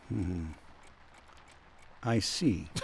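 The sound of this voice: In a put-on character voice, a man speaks very slowly at a low pitch with vocal fry and ordinary pitch variation.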